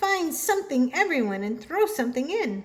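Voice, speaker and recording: A woman's put-on character voice, high-pitched and at a moderate pace, with very wide pitch swings. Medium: read story.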